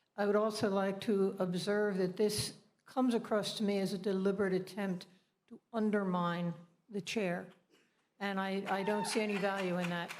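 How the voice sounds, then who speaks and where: A woman speaks at a medium pitch in a monotone, flat delivery, with audible echo from the room. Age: 70s. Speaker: party committee member. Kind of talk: public comment at a meeting. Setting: meeting hall.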